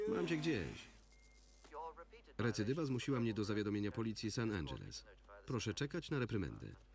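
A man with vocal fry talks at a fairly quick pace and very even loudness, broken by long, frequent pauses. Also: medium pitch for a man, lively intonation. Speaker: Polish film voice-over reader (lektor). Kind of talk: single-voice film translation read over the original soundtrack.

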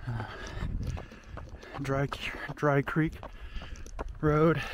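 A man with monotone, flat intonation, a dry sound with no echo and noticeable background noise. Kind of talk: casual narration while running. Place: open country. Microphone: phone near.

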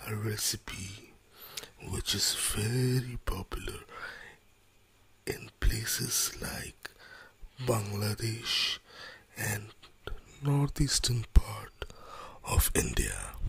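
The voice is soft-spoken and very slow. Long, frequent pauses break up the speech. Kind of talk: ASMR cooking tutorial. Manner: relaxing.

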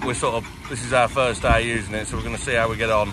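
A man at a very fast pace, monotone and flat, with a dry sound with no echo and noticeable background noise. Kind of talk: casual vlog walkaround explanation. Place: open country. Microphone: phone near.

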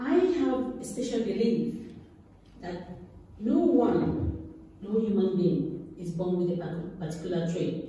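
Amid strong room echo, a woman talks at a very slow pace with a fairly low pitch. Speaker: guest. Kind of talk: speech. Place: hall. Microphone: camera far.

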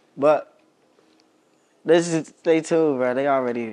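A man speaks at medium pitch and a moderate pace over noticeable background noise. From Maryland, Montgomery County (DC area); Maryland. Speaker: rapper; interview guest. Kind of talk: casual interview. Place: home room.

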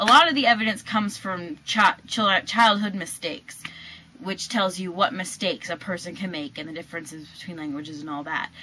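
Lively intonation in a woman's speech. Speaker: linguistics video presenter. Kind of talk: educational explainer to camera. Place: home room. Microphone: webcam.

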